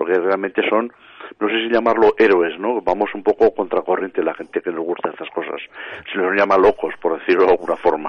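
Over noticeable background noise, a man talks at a fairly quick pace in a fairly low voice with fairly even intonation. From Spain, Matarraña, Teruel (Aragon). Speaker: paranormal researcher and author. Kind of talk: radio interview.

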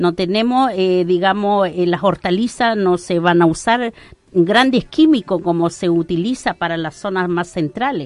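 A woman talks in an unremarkable speaking voice at a moderate pace. Her pitch is medium, and her intonation is lively. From Arauco, Biobío, Chile. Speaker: local entrepreneur, Mapuche community member. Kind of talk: radio interview.

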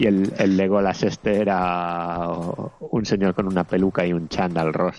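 A man with a northern Spanish accent speaks in a very deep, low pitch at a fairly slow pace, with hardly any pauses. His intonation is fairly even and his loudness very even. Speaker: video game podcast co-host. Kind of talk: casual chat.

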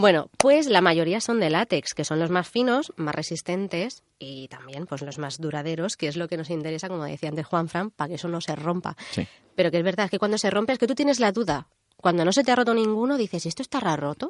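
A woman speaks at a fairly quick pace in a fairly low pitch. The sound is dry and close, with no echo. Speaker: radio co-host, engineer. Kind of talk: casual chat. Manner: prone to laughing.

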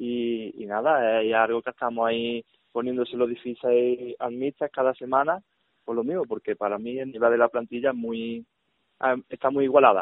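With a plain, everyday voice, a man of medium pitch talks at a moderate pace with fairly even intonation. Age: 20s. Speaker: futsal player. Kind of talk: radio interview.

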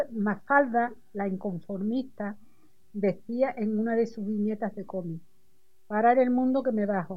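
Somewhat breathy delivery at a fairly slow pace with ordinary pitch variation. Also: woman. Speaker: adult education student. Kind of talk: reading aloud personal writing. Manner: halting.

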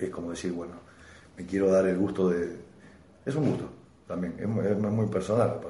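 A man with a Rosario accent, very deep and low in pitch, at a fairly quick pace with ordinary pitch variation and long, frequent pauses, plus audible room echo. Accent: Argentine Spanish (Rosario). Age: 30s. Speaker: stand-up comedian. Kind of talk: casual chat. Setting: home recording over beers.

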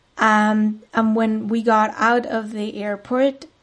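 A woman speaks in a fairly high pitch with monotone, flat intonation against a quiet background. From Spain, Madrid. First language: Spanish. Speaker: podcast host, spiritual coach. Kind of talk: solo monologue podcast.

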